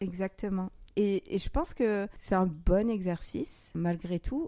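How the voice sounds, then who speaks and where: The woman's tone is dark and mellow. She speaks very slowly. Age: 30s. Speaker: podcast host sharing her own story. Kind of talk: personal testimony in conversation. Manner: hesitant.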